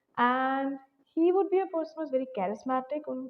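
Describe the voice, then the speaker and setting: A woman speaks in a soft-spoken way. Her voice is high in pitch. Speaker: tarot reader. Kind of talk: tarot reading.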